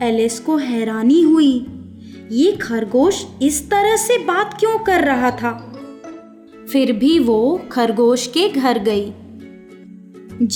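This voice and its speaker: A woman at a high pitch, with very wide pitch swings and very even loudness, over music in the background. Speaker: voice over artist. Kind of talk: children's fairy tale narration.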